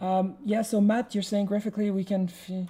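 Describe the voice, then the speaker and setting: Speaking with a French accent, a woman sounds somewhat breathy, with a dark, mellow tone and a fairly slow pace, on a very clean recording with a silent background. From France or French-speaking region. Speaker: hardware designer and programmer. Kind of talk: live-stream programming tutorial. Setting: live stream. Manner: halting, many repetitions.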